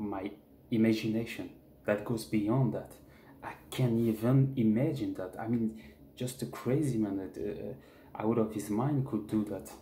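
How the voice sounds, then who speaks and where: Somewhat breathy and dark, mellow in tone, a voice with a French accent moves at a fairly slow pace with ordinary pitch variation amid audible room echo. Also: man, medium pitch for a man. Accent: French, speaks bad English. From France. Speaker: jiu-jitsu fan vlogger. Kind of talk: casual monologue vlog. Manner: halting, repetitive; animated.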